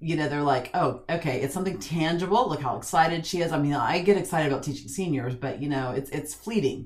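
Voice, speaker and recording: A woman speaks in an animated tone. Her pitch varies in an ordinary way. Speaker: podcast host on senior living. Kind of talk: casual interview chat.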